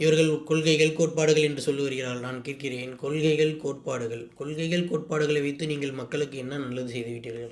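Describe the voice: At a fairly quick pace, a man speaks with medium pitch and fairly even intonation.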